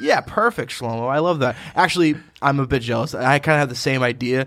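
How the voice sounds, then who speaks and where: Delivered with an American accent, a plain, everyday voice moves at a moderate pace with ordinary pitch variation. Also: man. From Quincy, Massachusetts. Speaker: recurring podcast guest. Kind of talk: casual chat.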